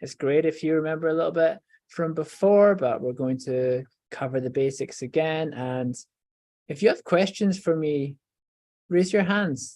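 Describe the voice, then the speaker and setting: With a Scottish accent, a man speaks in a dark, mellow, fairly high voice, leaving long, frequent pauses. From Scotland, Edinburgh. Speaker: professor, stem cell researcher. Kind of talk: educational talk for children.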